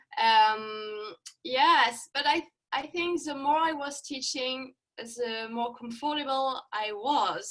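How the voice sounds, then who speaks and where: A woman is speaking. She has a French accent. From France. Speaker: yoga instructor. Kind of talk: interview. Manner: halting.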